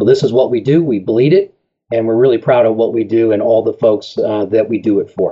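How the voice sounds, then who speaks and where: A man talks in a plain, everyday voice at a fairly quick pace. His pitch sits in the medium range with ordinary variation. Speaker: tire company representative. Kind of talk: interview, product talk.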